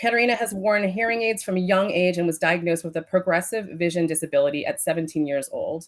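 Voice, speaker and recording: At a fairly quick pace, a woman with an American accent speaks at medium pitch with ordinary pitch variation. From United States. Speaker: podcast host and business coach. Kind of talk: interview.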